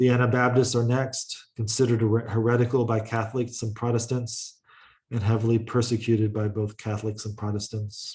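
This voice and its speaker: At a fairly quick pace, a somewhat breathy man with a medium pitch speaks in a monotone, flat intonation. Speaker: college lecturer. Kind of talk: lecture. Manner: halting, with frequent uh fillers.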